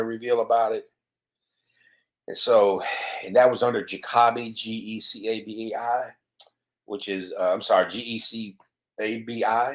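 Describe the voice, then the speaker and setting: This man speaks with a Mississippi accent. His pitch sits in the medium range. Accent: Southern US (Mississippi). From US South, Mississippi. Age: 50s. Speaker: cybersecurity author. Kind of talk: solo video commentary. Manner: halting, many fillers.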